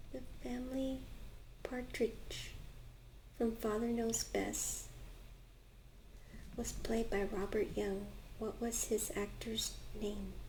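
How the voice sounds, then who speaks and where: Soft-spoken delivery, very slow, with long, frequent pauses. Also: woman. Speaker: ASMR creator. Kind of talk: ASMR soft-spoken page turning reading.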